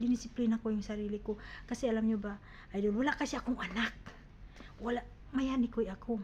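Talking at a very fast pace, a woman speaks. Her pitch is fairly high. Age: 50s. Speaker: vlogger. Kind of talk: casual vlog talk. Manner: halting.

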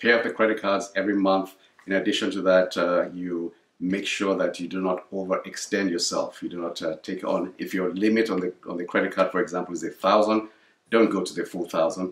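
The man's voice is fairly low and runs at a fairly quick pace. His intonation is monotone and flat, and the room echo is audible. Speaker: parent giving financial advice. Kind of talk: casual educational chat. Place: home room.

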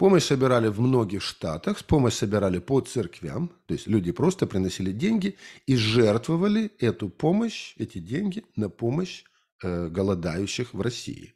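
Against a quiet background, a man with a medium pitch talks fairly slowly, his pitch swinging very widely. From Ukraine, Kharkiv region. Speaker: history lecturer and activist. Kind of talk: lecture. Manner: halting, with frequent filler sounds. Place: home room. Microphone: studio mic.

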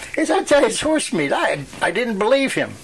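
There is noticeable background noise behind this man. He talks with lively intonation in a Western Pennsylvania accent. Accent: Western Pennsylvania American. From Western Pennsylvania, USA. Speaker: World War II veteran. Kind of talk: oral history interview answer.

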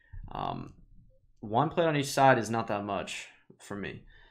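A fairly slow pace against a quiet background. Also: man. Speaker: fitness vlogger. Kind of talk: tutorial. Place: home room. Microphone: webcam.

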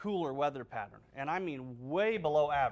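Using lively intonation, a man talks at a fairly high pitch and a fairly slow pace. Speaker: TV meteorologist. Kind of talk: weather report. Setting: studio. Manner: brisk, conversational, matter-of-fact. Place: studio. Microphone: lapel.

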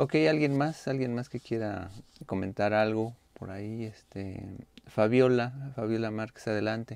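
The sound is dry, with no echo. A man speaks at a fairly slow pace with ordinary pitch variation. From Mexico. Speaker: university lecturer. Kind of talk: online class lecture. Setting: video call. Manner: halting, many fillers. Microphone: webcam.

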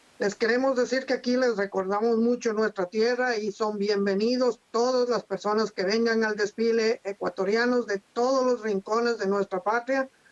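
This man's high-pitched voice stays monotone and flat at a moderate pace, with very even loudness and hardly any pauses. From Latacunga, Ecuador. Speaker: Ecuadorian community organizer in Los Angeles. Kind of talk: interview answer. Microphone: video call.

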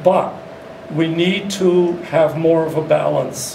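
A man talks in a high, monotone, flat voice. Audible room echo and light background noise surround him. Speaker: beekeeper. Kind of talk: panel discussion. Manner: halting. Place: meeting room. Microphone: camera far.

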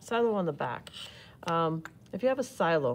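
Lively intonation lifts the woman's fairly low pitch as she talks at a moderate pace in a normal speaking voice. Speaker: art teacher. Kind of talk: tutorial. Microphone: phone near.

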